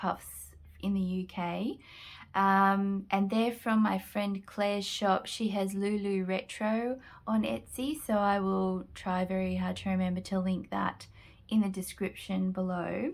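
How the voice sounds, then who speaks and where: On a very clean recording with a silent background, a woman with a strong Australian accent talks at a fairly slow pace, medium-pitched, with fairly even intonation. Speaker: junk journal crafter. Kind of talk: product flip-through tutorial. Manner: casual, hesitant with frequent fillers.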